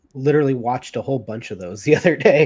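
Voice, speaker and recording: A man with an American accent speaks at a fairly quick pace in an unremarkable speaking voice, his pitch medium, on a very clean recording with a silent background. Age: 30s. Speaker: anime fan guest. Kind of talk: casual chat.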